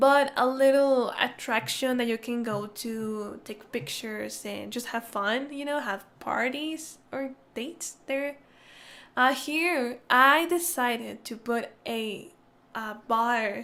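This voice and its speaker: In a very slow delivery, a woman with a non-native accent speaks at a high pitch with a bright, sharp tone and ordinary pitch variation, on a very clean recording with a silent background. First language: not English. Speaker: gaming YouTuber. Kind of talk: casual gameplay commentary. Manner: casual, hesitant.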